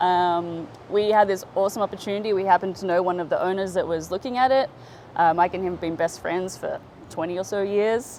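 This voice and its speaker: With an Australian accent, a woman talks at a fairly quick pace at medium pitch, her pitch variation ordinary. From Australia, northern beaches of Sydney. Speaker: sales and marketing director at a wave pool. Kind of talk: casual interview. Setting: on location at a wave pool venue.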